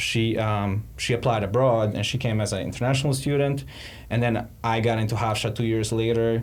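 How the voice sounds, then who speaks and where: A man at medium pitch, fairly even intonation and moderate pace, loudness very even, with audible room echo. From Montenegro. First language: Serbian. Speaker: ex-tech company financial analyst. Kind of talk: interview. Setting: podcast.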